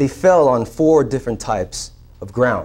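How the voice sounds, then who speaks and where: In a normal speaking voice, a man talks at a fairly slow pace with lively intonation. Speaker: preacher. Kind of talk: storyteller narration of a parable.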